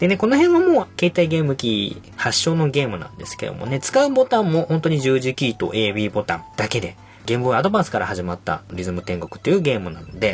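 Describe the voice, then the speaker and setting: A man at medium pitch with very wide pitch swings, big swings in loudness, a fairly quick pace and hardly any pauses, over noticeable background noise. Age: 30s. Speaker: podcast host. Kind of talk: casual chat. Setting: arcade.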